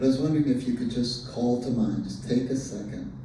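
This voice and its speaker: A man speaks at a fairly quick pace with a medium pitch and ordinary pitch variation, with audible room echo and noticeable background noise. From rural Southwest Texas. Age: 60s. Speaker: invited speaker on transgender issues. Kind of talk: talk to a community group.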